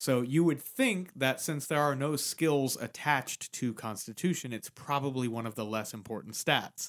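A man with an unremarkable speaking voice talks at a moderate pace, using ordinary pitch variation. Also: medium pitch for a man. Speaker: podcast co-host. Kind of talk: casual chat about D&D, with a mock street-vendor pitch. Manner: playful, chiming in on the mock pitch with 'step right up'; conversational, explains rules clearly.

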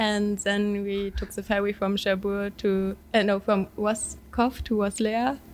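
In a German accent, a woman speaks at a medium pitch and a fairly slow pace, her intonation monotone and flat, with hardly any pauses. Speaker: exchange student. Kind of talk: casual chat interview.

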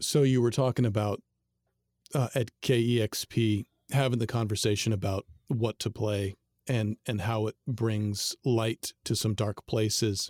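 The recording is very clean and silent in the background, with a dry, close sound and no echo. A man with an unremarkable speaking voice and medium pitch talks at a fairly slow pace with fairly even intonation. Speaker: podcast host. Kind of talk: interview conversation.

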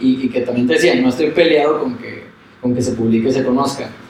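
At a very fast pace, a man with a medium pitch talks through audible room echo and noticeable background noise. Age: 30s. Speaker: musician and lawyer. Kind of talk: casual interview chat. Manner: halting, many fillers and repetitions.

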